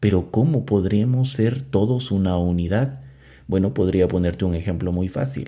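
A man speaks in a calm tone that is dark and mellow, fairly low in pitch. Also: lively intonation, moderate pace. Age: 30s. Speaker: podcast host. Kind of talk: spiritual talk; guided meditation. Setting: alone in a closed room.

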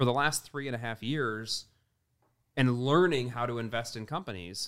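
A man's medium-pitched voice in a normal speaking voice with an American accent, on a very clean recording with a silent background. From US Midwest. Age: 30s. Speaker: entrepreneur and investor. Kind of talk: casual interview chat.

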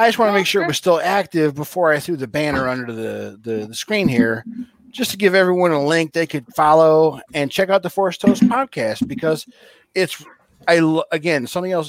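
Here is a man with a normal speaking voice and a fairly high pitch. He talks at a moderate pace with lively intonation. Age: 40s. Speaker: fill-in co-host. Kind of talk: casual chat.

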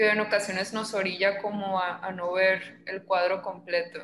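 Background noise is noticeable and the room echo is audible. A woman talks at a medium pitch with monotone, flat intonation. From Mexico, Sinaloa (Los Mochis). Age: 20s. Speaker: psychologist. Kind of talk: interview.

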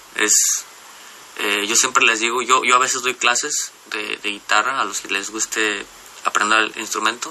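At a fairly slow pace, a man talks with fairly even intonation over noticeable background noise. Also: medium pitch for a man. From Mexico, Jalisco coast. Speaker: musician. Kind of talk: radio interview. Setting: radio studio. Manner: halting.

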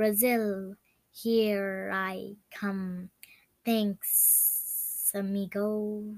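A woman speaks very slowly in a put-on character voice, medium in pitch, with a flat, monotone delivery.

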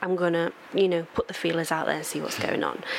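Noticeable background noise accompanies a woman speaking in a fairly low voice. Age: 20s. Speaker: podcast guest. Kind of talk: casual chat.

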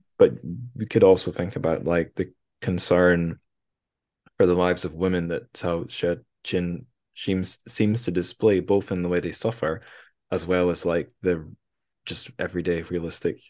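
A man with a British accent speaks at a very deep, low pitch and fairly even intonation. He leaves long, frequent pauses against a quiet background. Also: moderate pace. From UK. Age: 30s. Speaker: podcast host. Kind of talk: casual chat.

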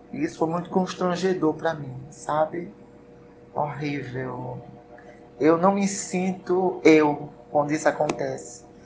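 A woman with a very deep, low pitch, at a fairly slow pace, with ordinary pitch variation, over noticeable background noise. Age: 40s. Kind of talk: interview.

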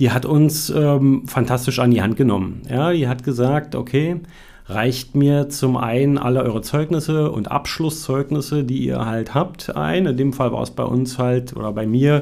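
A man talks at a fairly slow pace with a medium pitch. His tone is dark and mellow, with ordinary pitch variation. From Brandenburg, Germany. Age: 40s. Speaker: mature student. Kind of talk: interview. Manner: hesitant, many fillers.

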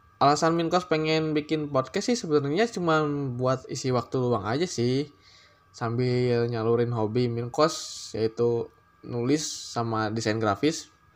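A man talks fairly slowly in a medium-pitched voice whose pitch varies in an ordinary way. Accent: slight Sundanese. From Bandung, West Java, Indonesia. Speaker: podcast host. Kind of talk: solo podcast introduction. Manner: casual, with hesitations.

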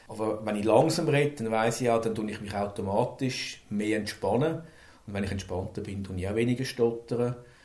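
Audible room echo accompanies a man speaking at a moderate pace, with a medium pitch and ordinary pitch variation. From Switzerland, Zürich. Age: 50s. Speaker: manager who stutters. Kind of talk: personal testimony. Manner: halting.

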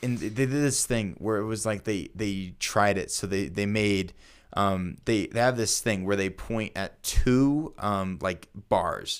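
On a very clean recording with a silent background, an ordinary speaking voice proceeds at a fairly slow pace, its pitch varying in an ordinary way. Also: man, fairly low pitch for a man. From Colorado, US. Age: 20s. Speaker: podcast host. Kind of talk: casual chat.

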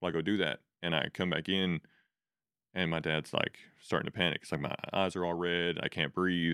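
A man with an American accent speaks at a moderate pace, his very deep, low pitch held in a monotone, flat intonation. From Texas Panhandle area. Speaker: fitness coach and gym owner. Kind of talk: casual interview chat.

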